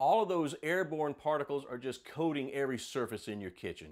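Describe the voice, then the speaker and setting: A man with a fairly high pitch and an upbeat tone at a moderate pace, on a very clean recording with a silent background. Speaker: home improvement expert. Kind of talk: sponsored TV morning show segment. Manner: upbeat, conversational.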